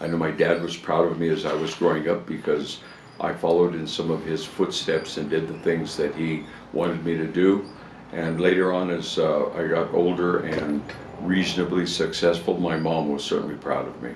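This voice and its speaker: A man talks in a very deep, low pitch with monotone, flat intonation. Noticeable background noise runs under his voice. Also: moderate pace. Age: 80s+. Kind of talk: interview answer.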